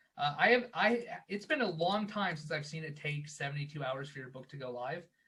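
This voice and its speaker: Ordinary pitch variation accompanies talking at a fairly quick pace. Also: man. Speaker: guest speaker on book publishing. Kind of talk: tutorial. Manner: fast.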